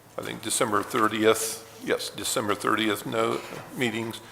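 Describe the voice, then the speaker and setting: An American accent amid noticeable background noise. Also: man. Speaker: board chairman. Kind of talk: public meeting. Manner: halting, many fillers.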